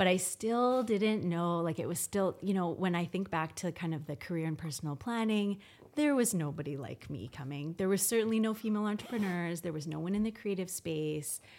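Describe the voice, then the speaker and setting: A woman with a Canadian accent, fairly low in pitch, lively in intonation and fairly quick, a normal speaking voice, in a very clean recording with a silent background. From Canada, Victoria BC. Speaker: interior designer. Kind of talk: casual interview chat.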